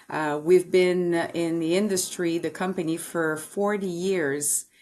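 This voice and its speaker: Using a Quebec accent, a woman talks at a fairly slow pace and fairly low pitch, with monotone, flat intonation. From Quebec City, Canada. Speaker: sales and marketing executive. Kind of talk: podcast interview. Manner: hesitant with many fillers.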